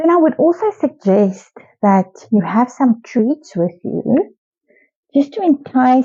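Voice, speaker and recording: A woman with a South African accent speaks very slowly in a high pitch, her voice making very wide pitch swings. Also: quiet background. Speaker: pet product reviewer. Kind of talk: casual talk to camera. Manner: mumbling.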